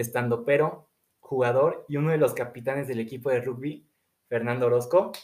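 Pitched in a medium range, a man speaks with fairly even intonation. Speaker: student podcast host. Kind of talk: casual interview. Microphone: audio problems.

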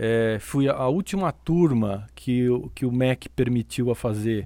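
Lively intonation marks a man's medium-pitched voice, which has a dark, mellow tone. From Brazil, São Paulo. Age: 50s. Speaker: athletics coach. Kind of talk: casual interview.

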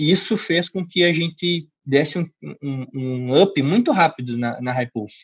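Speaking at a fairly slow pace, a man with a fairly high, somewhat breathy voice is heard in dry, close sound with no echo. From Curitiba, Paraná, southern Brazil. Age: 20s. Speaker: CrossFit gym co-founder. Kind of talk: interview. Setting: call. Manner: hesitant, many filler repetitions.

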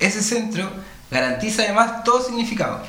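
Over noticeable background noise, a man with a Chilean accent talks at a moderate pace. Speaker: radio host. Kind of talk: casual chat. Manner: halting.

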